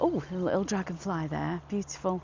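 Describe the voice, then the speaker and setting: Here is a woman with a Manchester accent and a medium pitch. Her pace is fairly slow. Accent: northern English (Manchester area). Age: 60s. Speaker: walking vlogger. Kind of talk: casual chat to camera while walking. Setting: outdoors in gardens. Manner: hesitant, many fillers.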